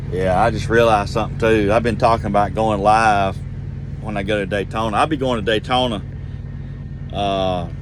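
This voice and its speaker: In a Georgia accent, a man talks at a fairly quick pace and a fairly low pitch with fairly even intonation and long, frequent pauses, amid audible room echo and noticeable background noise. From Georgia, US South. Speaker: truck driver vlogger. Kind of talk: casual vlog monologue. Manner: rambling, conversational.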